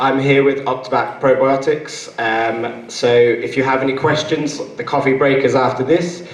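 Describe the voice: Audible room echo surrounds the voice of a man. He keeps his intonation fairly even.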